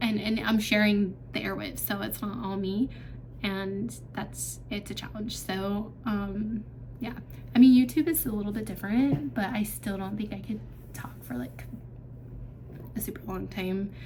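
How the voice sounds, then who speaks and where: Speech comes at a moderate pace with long, frequent pauses. Both noticeable background noise and audible room echo are present. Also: woman. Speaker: vlogger. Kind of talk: casual Q&A vlog. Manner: hesitant, many fillers.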